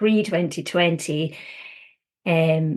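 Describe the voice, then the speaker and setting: A woman with a Scottish accent speaks at a very slow pace. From Scotland. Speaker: counsellor. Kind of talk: interview. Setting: podcast.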